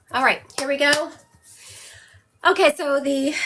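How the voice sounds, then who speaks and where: This woman has a high pitch and an American accent. Her voice is raised and projected. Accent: Southern US, comes out strongly at times. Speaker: psychic medium. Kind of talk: live-stream psychic reading. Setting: live stream with moderator in room. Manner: casual, chatty.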